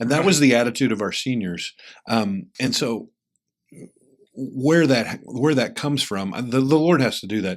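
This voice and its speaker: A man with a medium-pitched voice speaks with lively intonation. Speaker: rural pastor. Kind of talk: interview. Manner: fast.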